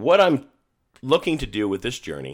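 Heard on a very clean recording with a silent background, a man with vocal fry talks at a moderate pace, his pitch swinging very widely. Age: 50s. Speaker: solo podcaster. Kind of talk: personal monologue. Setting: apartment.

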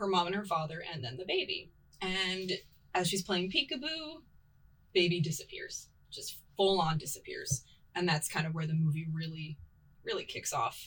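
The pace is moderate, broken by long, frequent pauses. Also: woman. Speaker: podcast co-host. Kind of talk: casual chat.

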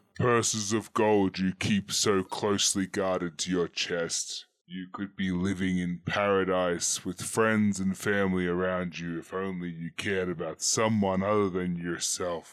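A man uses a put-on character voice, very deep and low, with a stern tone. He keeps a moderate pace with hardly any pauses. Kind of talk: theatrical moral monologue. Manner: stern, commanding, scolding.

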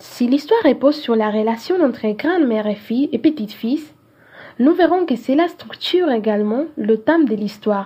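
In a Spanish accent, a woman speaks at a high pitch with lively intonation. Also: moderate pace. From Peru, Cajamarca. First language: Spanish (speaking French). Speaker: student film critic. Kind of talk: scripted film review reading.

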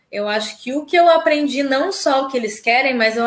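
Her high-pitched voice moves at a moderate pace, and the woman's pitch varies in an ordinary way. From southern Brazil, Porto Alegre area. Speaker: flight attendant. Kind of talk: casual interview.

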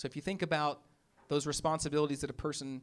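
A man with a Memphis accent talks at a fairly high pitch on a very clean recording with a silent background. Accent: Southern US (Memphis). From US South, Memphis, Tennessee. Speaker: pastor. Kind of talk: sermon. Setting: church with congregation. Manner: casual, conversational.

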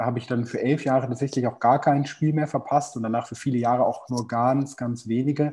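Medium in pitch, a man's voice has a dark, mellow tone and ordinary pitch variation. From Germany, Hannover. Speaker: football casual culture expert. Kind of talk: casual chat. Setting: remote call.

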